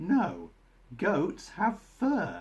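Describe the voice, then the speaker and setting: A man's put-on character voice, high in pitch. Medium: read story.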